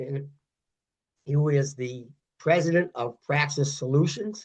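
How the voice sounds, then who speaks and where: Fairly high in pitch and somewhat breathy, a man's voice moves at a fairly slow pace. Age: 60s. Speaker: podcast host and fitness coach. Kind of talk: interview.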